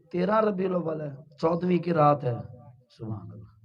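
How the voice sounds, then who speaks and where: There is audible room echo as a man with a high pitch speaks at a fairly slow pace. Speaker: Islamic preacher. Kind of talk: sermon. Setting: religious gathering with audience and loudspeakers.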